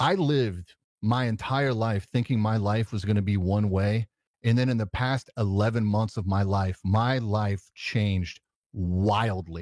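A man's unremarkable speaking voice, fairly low in pitch and fairly slow, with fairly even intonation and very even loudness, dry and close with no echo, in a very clean recording over a silent background. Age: 40s. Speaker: tech content creator. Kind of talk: casual chat. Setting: live stream.

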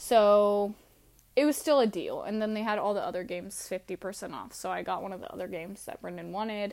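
A woman with a normal speaking voice, fairly quick pace and ordinary pitch variation, on a very clean recording with a silent background. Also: medium pitch for a woman, big swings in loudness. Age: 20s. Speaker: podcast host. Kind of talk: casual solo monologue.

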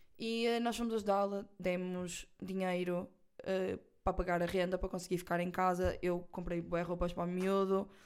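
With a European Portuguese accent, a woman speaks at a moderate pace and medium pitch, her intonation monotone and flat. Her loudness stays very even in a very clean recording with a silent background. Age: 20s. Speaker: podcast host. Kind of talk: casual chat. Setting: recording at an agency office.

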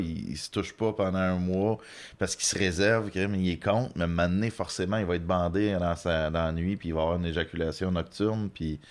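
A man's very deep, low voice with fairly even intonation, at a moderate pace over a quiet background. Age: 30s. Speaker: comedian. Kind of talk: casual chat.

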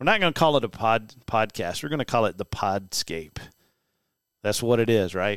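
A man is heard on a very clean recording with a silent background and a dry, close sound with no echo. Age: 40s. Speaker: podcast host and landscape business owner. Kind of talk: casual monologue; sponsor read. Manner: energetic.

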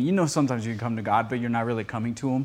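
A man is talking. His speech carries a Spanish accent. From Costa Rica. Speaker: podcast producer and speaker. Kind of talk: teaching message with casual banter.

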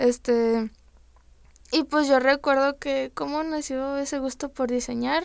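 A high-pitched woman at a very slow pace, with fairly even intonation. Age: 20s. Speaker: freelance illustrator. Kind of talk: interview.

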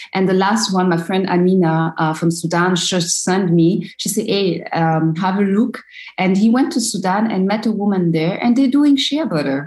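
A woman with a French accent, medium pitch, lively intonation, a somewhat breathy voice and a moderate pace. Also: hardly any pauses. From Ivory Coast (Abidjan). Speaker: social entrepreneur. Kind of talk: interview. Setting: video call. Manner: halting.

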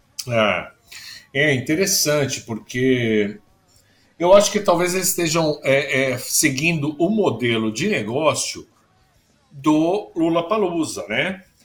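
Music plays in the background as a man with a fairly high pitch and lively intonation talks at a very slow pace. He leaves long, frequent pauses. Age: 50s. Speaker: foreign correspondent journalist. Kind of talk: casual chat.

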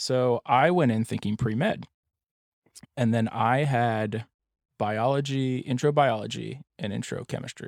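In a very clean recording with a silent background and a dry, close sound with no echo, a man with an ordinary speaking voice talks at a fairly slow pace, a medium pitch and ordinary pitch variation. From Pennsylvania, US. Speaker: stepfather sharing his story. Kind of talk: casual interview.

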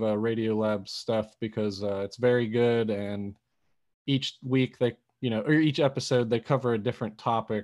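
Moderate-paced delivery in a normal speaking voice, the pitch varying in the usual way. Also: man. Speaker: podcast host. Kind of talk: casual intro and outro. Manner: casual, filler-heavy.

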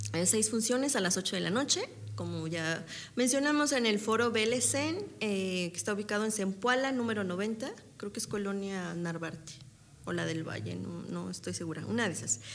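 The speaker is a woman talking at a moderate pace. Room echo can be heard. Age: 30s. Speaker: stage actress. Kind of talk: interview.

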